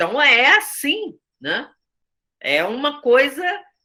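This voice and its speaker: Vocal fry runs through this woman's speech. Her pitch rises and falls very widely. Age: 60s. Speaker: theatre director and teacher. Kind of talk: study group discussion. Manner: conversational with many fillers.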